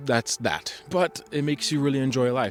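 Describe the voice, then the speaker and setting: A man's plain, everyday voice, at a fairly quick pace with fairly even intonation. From US Midwest (Kansas City), partly raised in Italy. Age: 20s. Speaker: vlogger. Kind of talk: casual monologue vlog. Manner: rambling, filler-heavy.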